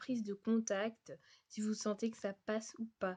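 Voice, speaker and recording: Against a quiet background, a woman talks fairly slowly at a fairly high pitch. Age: 20s. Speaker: vlogger and au pair. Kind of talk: advice vlog. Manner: hesitant, many fillers.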